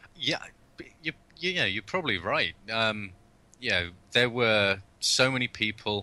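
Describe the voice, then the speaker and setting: A man with a British accent and a bright, sharp tone, at a moderate pace, with lively intonation and long, frequent pauses. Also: medium pitch for a man. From UK. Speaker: video game director. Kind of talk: interview.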